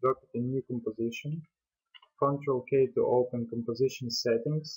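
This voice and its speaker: Fairly even intonation marks a man's mid-pitched speech. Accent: non-native. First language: not English. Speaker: software tutorial creator. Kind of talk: tutorial. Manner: hesitant, with fillers.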